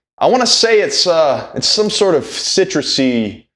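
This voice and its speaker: Speech comes at a very slow pace with very wide pitch swings. Room echo is audible. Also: man. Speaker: streamer and musician. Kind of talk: live gameplay stream chat. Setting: live stream. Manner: casual, conversational.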